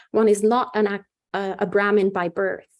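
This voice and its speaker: A woman speaks with an Italian accent at a medium pitch. Her intonation is monotone and flat, and her pace is moderate. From Italy. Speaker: Buddhist nun. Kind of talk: dharma talk. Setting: video call. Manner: hesitant, many fillers.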